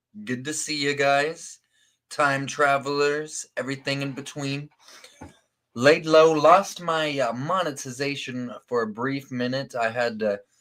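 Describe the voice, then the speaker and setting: A man's fairly high-pitched, plain, everyday voice at a fairly slow pace. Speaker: live-stream host. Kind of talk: casual talk to camera. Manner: upbeat.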